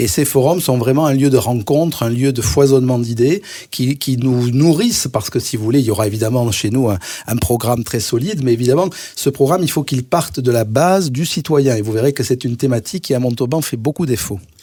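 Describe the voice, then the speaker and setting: A somewhat breathy man with a dark, mellow tone speaks at a medium pitch and a fairly quick pace, with ordinary pitch variation. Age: 60s. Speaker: cardiologist and mayoral candidate. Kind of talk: radio interview.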